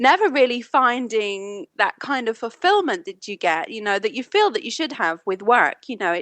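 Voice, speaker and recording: A woman speaks at a fairly quick pace with a British accent. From United Kingdom. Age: 30s. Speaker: business consultant. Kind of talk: podcast interview.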